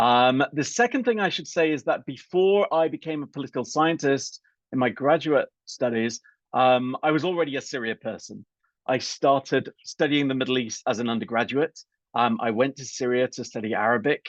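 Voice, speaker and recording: A man with a British accent speaks in a medium pitch with ordinary pitch variation. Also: moderate pace, dry, close sound with no echo. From UK. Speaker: political scientist. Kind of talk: lecture. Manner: hesitant, many fillers.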